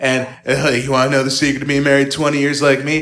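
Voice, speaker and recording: The man's tone is animated, at a medium pitch. Noticeable background noise can be heard. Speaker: stand-up comedian. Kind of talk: stand-up comedy. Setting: stage with audience. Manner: animated, sarcastic, rapid-fire punchlines; casual, conversational, with laughs and filler words.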